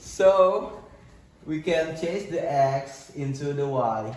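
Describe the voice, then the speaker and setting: With an Indonesian accent, a man talks at a fairly high pitch for a man, and room echo is audible. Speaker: university student. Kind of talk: student presentation. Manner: halting.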